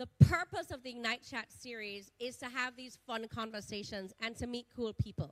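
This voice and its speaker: The voice is loud with an animated tone. It moves at a moderate pace. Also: woman. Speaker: event host and director. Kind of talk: live event introduction and moderated chat. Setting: stage with live audience.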